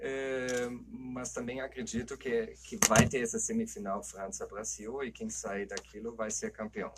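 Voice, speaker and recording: Speech comes fairly slowly from a man. He talks in a German accent. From Germany. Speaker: anthropologist, football pundit. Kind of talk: casual discussion.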